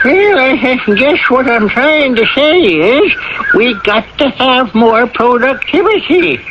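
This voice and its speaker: This is a put-on character voice at a fairly slow pace. Its loudness stays very even. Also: man, extremely high pitch for a man. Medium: old radio play. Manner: folksy, chuckling, ungrammatical.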